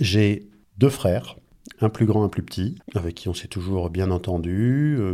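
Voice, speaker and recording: A man's fairly low, dark and mellow voice with lively intonation, at a very slow pace, in a very clean recording against a silent background. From France, Angers. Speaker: doctor. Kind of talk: casual chat.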